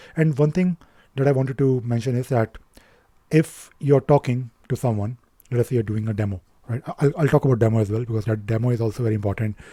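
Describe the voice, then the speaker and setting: A somewhat breathy voice with a dark, mellow tone speaks at a very fast pace with ordinary pitch variation, in a dry, close sound with no echo. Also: man. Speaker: IT consultant and career advice vlogger. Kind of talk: casual talking-head advice monologue. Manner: hesitant, many fillers and repetitions.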